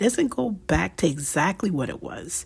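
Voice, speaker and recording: In a very clean recording with a silent background, a woman speaks very slowly at medium pitch, sounding somewhat breathy. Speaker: writer of faith reflections. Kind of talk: reflective audio essay reading. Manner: slow, soft-spoken.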